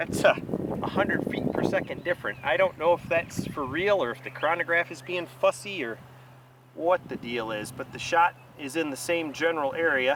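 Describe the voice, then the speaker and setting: A man with a fairly high voice speaks at a moderate speed, his pitch varying in an ordinary way as noticeable noise sits behind him. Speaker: rifle shooter. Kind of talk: casual talk to camera. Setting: outdoors.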